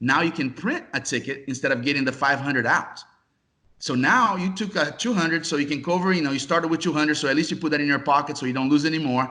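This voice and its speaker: A man with a Brazilian accent speaks at a very fast pace, his pitch fairly high with ordinary variation. His tone is bright and sharp. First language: Portuguese. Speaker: casino software executive. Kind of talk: interview.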